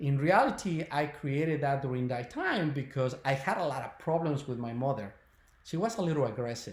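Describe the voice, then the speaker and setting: Lively intonation comes at a moderate pace, with audible room echo. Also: man. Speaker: spiritual healer and webinar presenter. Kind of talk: webinar talk. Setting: online video webinar. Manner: hesitant, many fillers.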